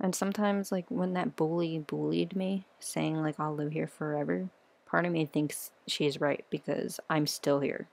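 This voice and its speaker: In a quiet background, a woman with a very deep, low pitch talks at a moderate pace with ordinary pitch variation. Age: 20s. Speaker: vlogger sharing personal struggles. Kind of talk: personal testimony vlog. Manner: quiet, hushed; halting.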